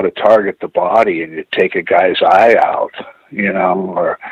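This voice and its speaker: A man with an American accent is heard in a dry, close sound with no echo. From Pacific Northwest US, Tacoma Washington. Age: 60s. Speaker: martial arts instructor. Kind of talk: casual interview chat. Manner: halting, many fillers.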